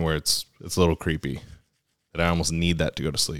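Here is a man with an American accent. His voice has a very deep, low pitch. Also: dry, close sound with no echo. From California, Sacramento. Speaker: navy veteran podcast host. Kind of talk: casual solo monologue. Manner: hesitant, many fillers.

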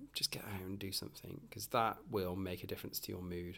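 Very fast and in a British accent, a man speaks on a very clean recording with a silent background. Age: 40s. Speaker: podcast host. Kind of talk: casual monologue. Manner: hesitant, many fillers.

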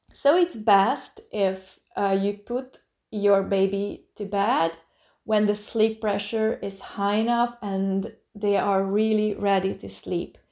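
Very clean and set against a silent background, this recording captures a woman with a medium-pitched, dark, mellow voice. She speaks at a very slow pace with fairly even intonation. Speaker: podcast host, sleep coach. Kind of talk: solo podcast talk.

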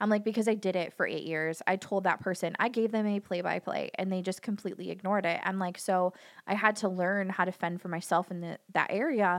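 Using a normal speaking voice, a woman of medium pitch keeps her intonation fairly even and talks at a fairly quick pace with hardly any pauses. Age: 30s. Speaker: dog groomer and hairdresser. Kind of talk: casual chat.

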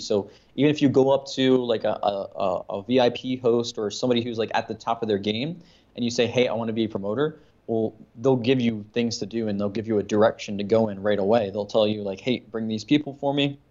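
A man with an American accent talks at a very fast pace. His medium-pitched voice keeps fairly even intonation. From Maryland, US. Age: 20s. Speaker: lifestyle coach and former club promoter. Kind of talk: casual interview.

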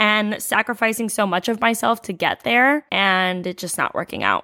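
With an American accent, a woman sounds animated, her tone bright and sharp at a medium pitch, in a dry, close sound with no echo. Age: 20s. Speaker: podcast host and registered nurse. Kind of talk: casual monologue.

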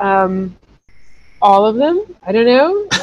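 A woman speaks in an American accent at a very slow pace. Her intonation is lively. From US, North Carolina (Chapel Hill). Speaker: travel journalist and podcast host. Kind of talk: casual interview chat.

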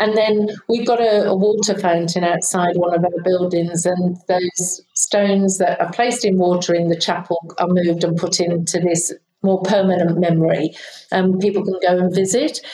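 With a British accent, a woman speaks at a moderate pace and medium pitch, her loudness very even and her intonation fairly even. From United Kingdom. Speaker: aged care executive and nurse. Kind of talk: casual interview conversation.

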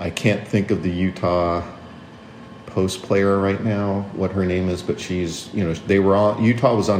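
A man's very deep, low voice at a moderate pace with fairly even intonation, amid noticeable background noise and audible room echo. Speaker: sports podcast co-host. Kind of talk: casual sports chat.

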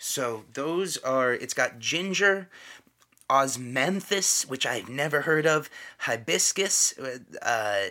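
A man with a fairly high pitch and a bright, sharp tone speaks at a very slow pace, his intonation lively. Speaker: podcast host. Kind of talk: casual chat.

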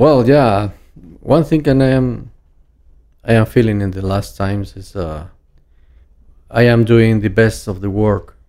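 Speaking at a fairly slow pace with long, frequent pauses, a man has a dark, mellow tone and ordinary pitch variation. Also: medium pitch for a man. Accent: Spanish. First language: Spanish. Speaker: master distiller. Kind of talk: casual interview. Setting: in person. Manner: halting.

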